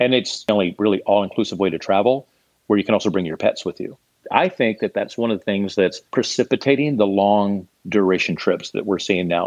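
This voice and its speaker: Recorded in a dry, close sound with no echo, a man talks in a normal speaking voice at a fairly quick pace, fairly low in pitch with ordinary pitch variation. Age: 50s. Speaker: startup CEO. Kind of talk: interview.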